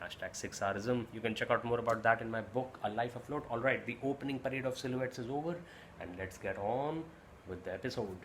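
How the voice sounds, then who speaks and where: At a fairly quick pace, a man with an Indian accent speaks in a medium pitch with ordinary pitch variation. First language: Hindi. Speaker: YouTube reviewer and vlogger. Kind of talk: casual watch-along review.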